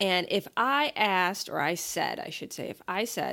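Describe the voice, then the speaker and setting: An unremarkable speaking voice, a woman's at medium pitch, moves at a moderate pace with lively intonation in a very clean recording with a silent background. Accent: American. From New York and Ohio, US. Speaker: podcast co-host. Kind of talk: casual chat.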